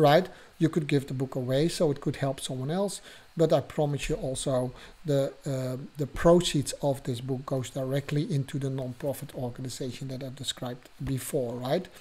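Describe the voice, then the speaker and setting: At a moderate pace, a man speaks with a fairly high pitch, a somewhat breathy, dark, mellow tone and fairly even intonation. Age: 60s. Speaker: podcast host and abuse survivor coach. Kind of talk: casual monologue podcast. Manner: halting, with fillers.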